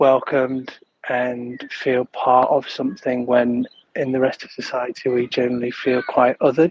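Flat, monotone delivery with a Yorkshire accent. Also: man. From northern England, Leeds. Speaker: podcast listener. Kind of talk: voice note. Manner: halting.

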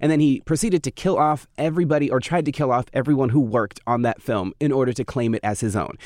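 Dry and close with no echo, on a very clean recording against a silent background, a man with an unremarkable speaking voice talks at a fairly high pitch with lively intonation. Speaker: podcast co-host discussing horror films. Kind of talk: casual chat.

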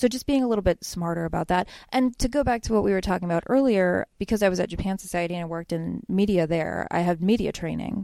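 A woman speaks at a very fast pace with hardly any pauses. Her medium-pitched voice has a dark, mellow tone and ordinary pitch variation. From Pennsylvania, US (Bethlehem). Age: 30s. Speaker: cartoonist. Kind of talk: casual interview.

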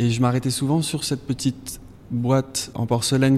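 A man at medium pitch talks at a moderate pace with monotone, flat intonation. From southwest France, Basque Country. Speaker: painter. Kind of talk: interview during museum walk. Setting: in a museum gallery. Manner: halting.

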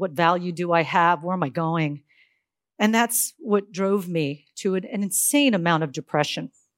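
At a moderate pace, a woman talks in an ordinary speaking voice, her pitch fairly low with ordinary pitch variation. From US, Silicon Valley, California. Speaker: tech entrepreneur. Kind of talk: conference talk.

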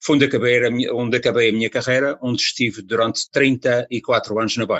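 A man at a very fast pace. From Azores, Ponta Delgada. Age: 70s. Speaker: radio presenter and colonial war veteran. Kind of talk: interview.

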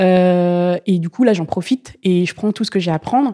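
The tone is dark and mellow, with ordinary pitch variation and a dry, close sound with no echo. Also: woman. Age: 20s. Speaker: Paralympic para-canoe athlete. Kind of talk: interview. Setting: training centre. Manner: halting, many repetitions and fillers.

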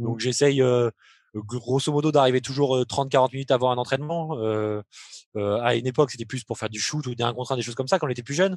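Over a quiet background, a man speaks very fast at a medium pitch with fairly even intonation, the sound dry and close with no echo. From France, Limoges. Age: 30s. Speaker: professional basketball player. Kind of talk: interview. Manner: hesitant, many fillers.

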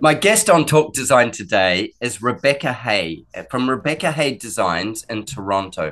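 A man's medium-pitched voice in an Australian accent, with very wide pitch swings, a moderate pace and a quiet background. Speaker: podcast host. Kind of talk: casual interview chat.

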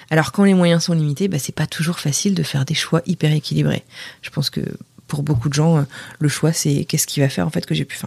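Talking at a very fast pace, a woman has a very deep, low pitch with vocal fry. The sound is dry and close, without echo. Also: ordinary pitch variation. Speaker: French expat. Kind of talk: recorded voice message.

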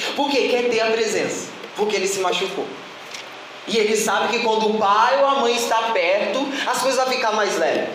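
Someone speaks at a moderate pace in an animated tone over noticeable background noise. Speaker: preacher. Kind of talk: sermon. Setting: church. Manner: animated, fervent preaching, repetitive with rhetorical questions.

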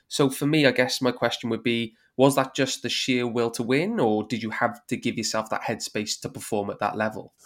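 Fairly quick speech in a Welsh accent, with hardly any pauses and fairly even intonation. The recording is very clean, with a silent background. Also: man, medium pitch for a man. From Wales. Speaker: podcast host. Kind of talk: interview.

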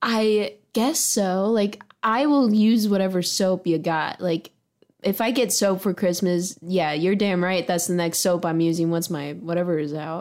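An ordinary speaking voice from a woman, medium in pitch, with ordinary pitch variation and a fairly slow pace. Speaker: podcast co-host. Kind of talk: casual chat.

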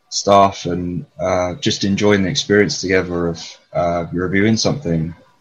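Here a man talks with a London accent. His pace is fairly slow. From North London, England. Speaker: photographer and mental health care worker. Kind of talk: casual interview. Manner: hesitant, many fillers.

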